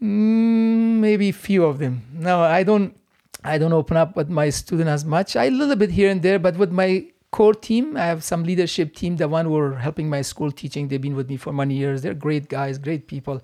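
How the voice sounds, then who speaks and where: A man's high-pitched voice with a dark, mellow tone, a moderate pace and an Afghan accent. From Afghanistan. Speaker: martial arts instructor and stuntman. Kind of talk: casual interview conversation. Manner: warm, grateful, polite.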